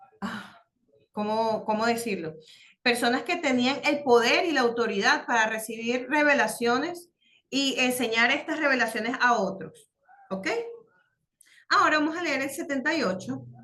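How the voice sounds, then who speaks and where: Her voice is high, and this woman uses lively intonation at a moderate pace with long, frequent pauses, amid audible room echo. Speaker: religious course teacher. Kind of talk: online class lesson. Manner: halting, many fillers.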